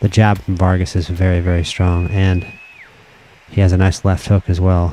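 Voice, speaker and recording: A man speaks in a very deep, low pitch. His loudness stays very even. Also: moderate pace. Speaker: video game commentator streamer. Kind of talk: live commentary. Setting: live stream. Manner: animated.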